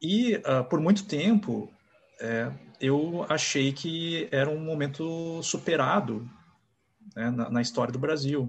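Very slow speech over a quiet background. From Rio de Janeiro, Brazil. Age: 40s. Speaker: novelist. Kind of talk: interview. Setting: video call.

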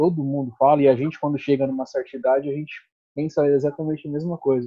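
A man with a fairly high pitch, talking at a very fast pace. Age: 30s. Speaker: guest discussing baldness. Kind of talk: casual chat.

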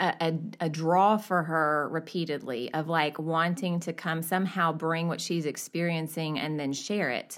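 A woman with an American accent speaks at a fairly slow pace with a fairly low pitch, an ordinary speaking voice. The recording is very clean, with a silent background. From US South. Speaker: church member. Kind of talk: casual chat.

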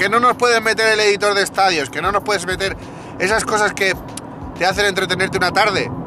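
A man's raised, projected voice, high-pitched and very fast, with fairly even intonation, over noticeable background noise. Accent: Spanish. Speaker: podcast host, gaming commentator. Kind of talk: angry rant, indignant monologue at a game company. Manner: heated, indignant, emphatic, repeating phrases; exasperated, swearing, venting.

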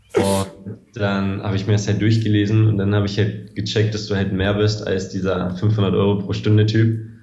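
With audible room echo and noticeable background noise, a man speaks at a moderate pace in a fairly low, monotone voice with flat intonation. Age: 20s. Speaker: sports videographer and video editor. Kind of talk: casual interview.

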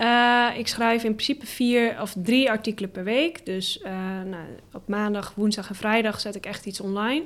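A woman speaks at a moderate pace in a fairly high voice. Her pitch varies in an ordinary way, while her loudness swings widely. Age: 20s. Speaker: full-time blogger. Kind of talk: podcast interview. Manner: hesitant with many fillers.

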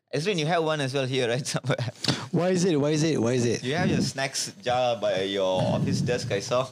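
Over noticeable background noise, a man at medium pitch talks at a fairly quick pace with lively intonation and very even loudness. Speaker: personal trainer. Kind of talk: casual chat.

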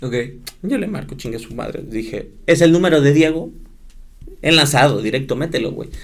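A man at a moderate pace, with audible room echo. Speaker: sports broadcaster. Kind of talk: casual chat.

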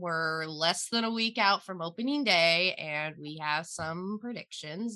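This is a woman with a plain, everyday voice. She talks at a moderate pace. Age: 20s. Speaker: podcast guest. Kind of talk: casual chat.

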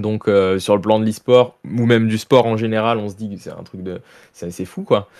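A man with an ordinary speaking voice talks at a moderate pace, his pitch fairly low and his intonation fairly even. His loudness swings widely, and the recording is very clean with a silent background. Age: 20s. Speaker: professional esports player. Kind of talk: interview.

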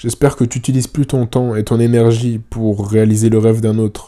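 A man's dark, mellow tone at a moderate pace, monotone and flat in intonation. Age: 20s. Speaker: YouTuber. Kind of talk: personal monologue to future self.

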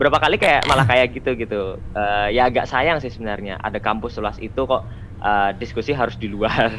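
This ordinary speaking voice moves at a fairly quick pace with ordinary pitch variation. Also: man, medium pitch for a man. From Central Java (Magelang). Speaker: university student, volunteer. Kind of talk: casual podcast interview.

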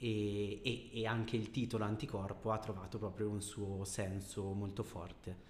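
A man talks at a moderate pace with hardly any pauses, his fairly low pitch in monotone, flat intonation, over noticeable background noise. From Bergamo, northern Italy. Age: 30s. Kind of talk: casual interview.

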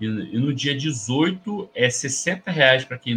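A man is speaking. His pitch is fairly high and his intonation lively. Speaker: football podcast host. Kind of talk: casual chat. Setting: studio.

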